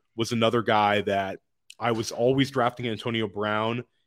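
Man with a normal speaking voice, medium pitch, an American accent and a moderate pace. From Washington, D.C., US. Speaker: fantasy football analyst and podcaster. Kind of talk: casual interview. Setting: in person at his home.

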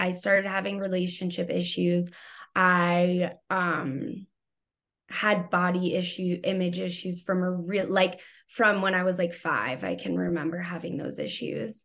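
A woman with an American accent and a plain, everyday voice, fairly low in pitch, at a fairly slow pace with fairly even intonation, against a quiet background. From New York City. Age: 30s. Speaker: trauma therapist. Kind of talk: interview.

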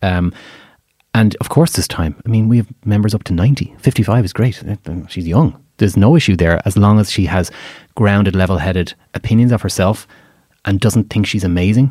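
With an Irish accent, a man speaks at a fairly quick pace in a dark, mellow tone, his fairly low pitch showing ordinary variation, in a dry, close sound with no echo. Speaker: matchmaker. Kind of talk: casual chat. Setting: studio.

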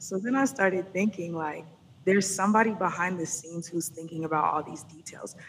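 A woman's normal speaking voice, medium in pitch, with ordinary pitch variation and a fairly quick pace. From Atlanta, US South. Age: 30s. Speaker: music business consultant. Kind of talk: interview conversation.

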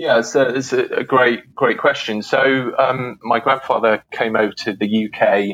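A man with a British accent speaks at a fairly slow pace, with hardly any pauses. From UK. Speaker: historian. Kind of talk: interview. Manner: halting, many fillers.

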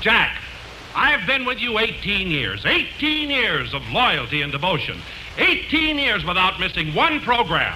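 Extremely high in pitch for a man, his voice swings very widely in pitch. He speaks at a very slow pace amid noticeable background noise. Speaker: radio announcer. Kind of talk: scripted radio announcing.

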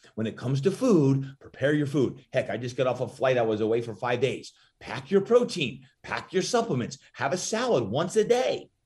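Animated and somewhat breathy, a man with a fairly high voice talks at a moderate pace with very wide pitch swings. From New Jersey. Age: 50s. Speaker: fitness trainer. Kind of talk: interview.

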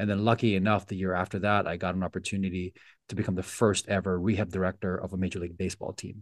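Against a quiet background, a man with a very deep, low pitch talks at a very fast pace. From Philippines. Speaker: sports physical therapist. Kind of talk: interview conversation.

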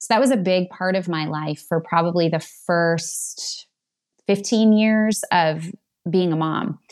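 A woman with a normal speaking voice speaks at a fairly slow pace in a fairly low pitch, with ordinary pitch variation and a quiet background. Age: 40s. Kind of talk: casual chat.

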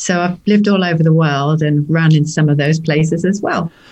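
This woman's voice is somewhat breathy and fairly low in pitch. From Norfolk, England. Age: 50s. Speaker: recreational runner and university worker. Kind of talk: casual interview chat.

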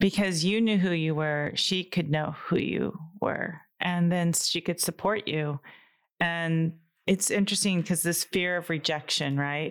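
Fairly low in pitch, a woman uses a normal speaking voice at a fairly slow pace. Her intonation stays fairly even, and the recording is very clean with a silent background. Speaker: energy practitioner and clairvoyant. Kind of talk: casual chat.

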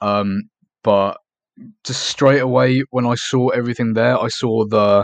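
A man with an East Anglian accent speaks against a quiet background, the sound dry and close with no echo. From England, Norfolk. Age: young. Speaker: urban explorer. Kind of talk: interview.

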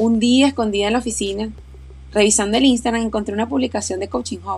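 A woman speaks at a fairly quick pace with a Venezuelan accent. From Venezuela, Aragua. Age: 30s. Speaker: podcast host, doctor and running coach. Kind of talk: personal storytelling monologue.

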